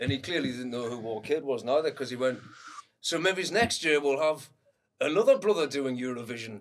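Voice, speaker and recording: A man talks at a fairly quick pace with a fairly high pitch. He has a normal speaking voice with lively intonation. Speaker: singer-songwriter. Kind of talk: casual chat.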